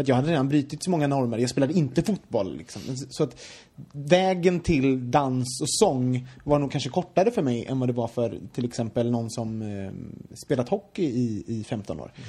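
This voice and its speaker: With a Gothenburg accent, a man speaks at a moderate pace and medium pitch in a dark, mellow tone with lively intonation. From Sweden, Gothenburg. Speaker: podcast host. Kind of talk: casual chat.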